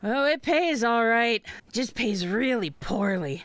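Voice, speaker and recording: In a cartoonish character voice, a female-sounding speaker talks at a fairly slow pace with a fairly high pitch. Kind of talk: cartoon radio-drama voice acting. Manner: sarcastic, impatient, tough.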